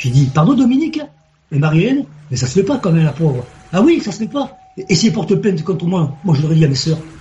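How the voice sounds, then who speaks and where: A man at a very fast pace, high in pitch, with very wide pitch swings and long, frequent pauses. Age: 50s. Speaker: caller. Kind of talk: storytelling. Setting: video call. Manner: animated.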